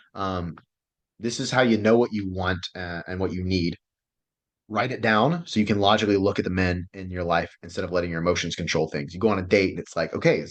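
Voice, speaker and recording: A man with a fairly low voice and ordinary pitch variation, going at a very fast pace. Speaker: relationship coach. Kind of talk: online class lecture. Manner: animated.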